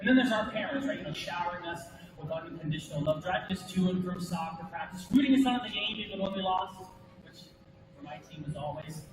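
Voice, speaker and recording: A man speaks very fast at a high pitch in an animated tone, with ordinary pitch variation and big swings in loudness. The recording carries audible room echo and noticeable background noise. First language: American Sign Language. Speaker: motivational speaker. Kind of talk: motivational speech.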